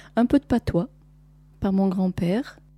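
A woman speaks fairly slowly at medium pitch, with ordinary pitch variation and a somewhat breathy, dark, mellow tone. The sound is dry and close with no echo, on a very clean recording with a silent background. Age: 50s. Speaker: interviewee, producer's mother. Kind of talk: recorded interview.

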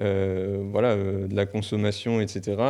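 The voice has a dark, mellow tone and moves at a very slow pace against a quiet background. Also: man. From northern France, near Lille. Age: 20s. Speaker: farmer. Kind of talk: interview. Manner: halting, many fillers and repetitions.

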